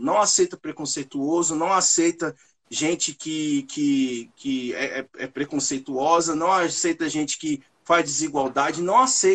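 Lively intonation from a man with an ordinary speaking voice, pitched fairly high. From Brasília, Brazil. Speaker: rapper. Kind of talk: interview.

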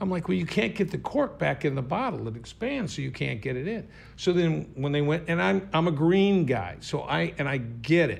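Speaking at a moderate pace with hardly any pauses, a man uses a fairly high pitch with very wide pitch swings and vocal fry. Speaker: podcast host. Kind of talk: casual chat. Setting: studio. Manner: casual, joking.

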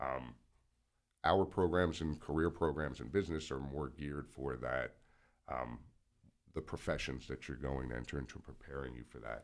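A man talks in a very deep, low voice with vocal fry and long, frequent pauses. The recording is very clean, with a silent background. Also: ordinary pitch variation, moderate pace. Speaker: college instructor. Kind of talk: interview. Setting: studio.

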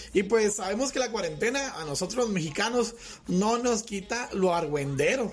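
An animated tone at a moderate pace, with noticeable background noise. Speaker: podcast host. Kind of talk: casual chat. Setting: studio.

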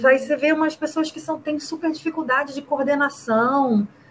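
Against noticeable background noise, a woman talks at a fairly quick pace in a high pitch with ordinary pitch variation. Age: 30s. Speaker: rugby player and teacher. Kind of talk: casual interview.

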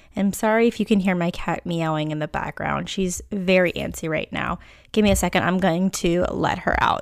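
Loud and at a moderate pace, a woman speaks with a fairly low pitch and fairly even intonation in a very clean recording with a silent background. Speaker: podcast host. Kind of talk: personal monologue. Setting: at home, cat audible. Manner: loud, poor volume control; unscripted, off the cuff.

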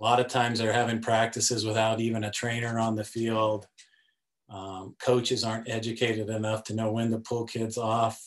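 A man in a monotone, flat intonation at a moderate pace. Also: medium pitch for a man. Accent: American. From US West, Denver, Colorado. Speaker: sports policy director and author. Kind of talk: casual interview.

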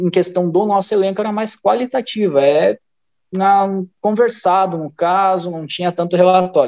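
A man's high-pitched voice at a moderate pace, with ordinary pitch variation and a dry, close sound free of echo. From Rio Grande do Sul, Brazil (near Novo Hamburgo). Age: 20s. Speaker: football performance analyst. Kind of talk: casual chat.

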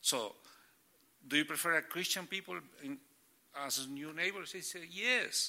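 A man with a Spanish accent speaks at a moderate pace and a high pitch, his tone bright and sharp. His loudness swings widely, pitch varies in an ordinary way, and long pauses come often. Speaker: church planter. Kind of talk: casual interview. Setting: church. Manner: halting.

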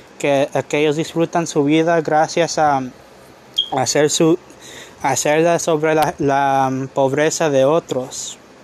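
Very slow, monotone speech with flat intonation and very even loudness from a man with a fairly high pitch. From California (Long Beach). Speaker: lay preacher. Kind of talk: sermon. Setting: outdoors in a park. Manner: halting.

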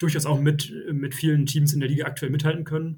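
Talking at a fairly quick pace, a man with a fairly high pitch sounds somewhat breathy and keeps a flat, monotone intonation. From Oldenburg, northern Germany. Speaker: football fan guest. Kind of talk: casual podcast interview.

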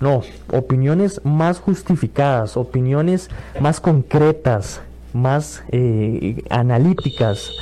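Noticeable background noise sits under a man speaking at a very slow pace and medium pitch. His intonation is lively and his loudness very even. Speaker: radio host. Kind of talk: radio call-in show.

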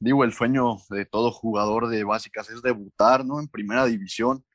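A man of medium pitch speaks in a plain, everyday voice with ordinary pitch variation. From Mexico, Córdoba, Veracruz. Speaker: professional footballer. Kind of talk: interview.

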